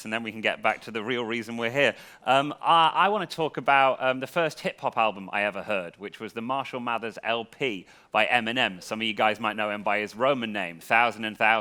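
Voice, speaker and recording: With an English accent, a man speaks at a fairly quick pace in a medium pitch, his tone bright and sharp and his pitch varying in an ordinary way. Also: very clean recording, silent background. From England. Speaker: comedian and freestyle rapper. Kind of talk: stand-up comedy to a live audience.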